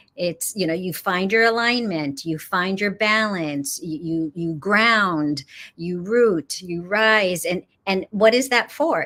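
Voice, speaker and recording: A woman speaks very slowly with an American accent. The recording is very clean, the background silent. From Los Angeles, US West Coast. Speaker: yoga teacher. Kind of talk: interview on a live spiritual show. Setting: studio, live stream. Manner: hesitant, many fillers and repeats.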